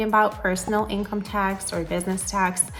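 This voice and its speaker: A woman speaks with an American accent at a medium pitch. Music plays in the background. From California. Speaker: real estate agent. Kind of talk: informational video talk. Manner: hesitant, many fillers.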